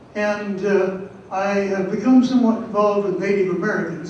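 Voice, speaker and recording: With audible room echo and noticeable background noise, a man speaks at a moderate pace in a high pitch. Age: 80s+. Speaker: Wiccan priest, audience member. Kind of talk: public forum comment. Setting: stage with audience, microphone. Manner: halting.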